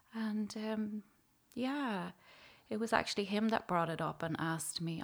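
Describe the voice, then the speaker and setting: A woman with an Irish accent at a moderate pace, ordinary pitch variation, on a very clean recording with a silent background. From Ireland, County Louth. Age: 40s. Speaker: psychotherapist and pastoral care worker. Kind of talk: testimony.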